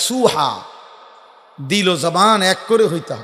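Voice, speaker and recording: A man with a high pitch and lively intonation talks amid noticeable background noise. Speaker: Islamic preacher. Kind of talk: sermon. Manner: animated.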